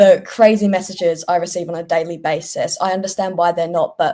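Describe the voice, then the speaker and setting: Very fast speech from a woman with a British accent. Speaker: political content creator. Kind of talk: casual panel discussion.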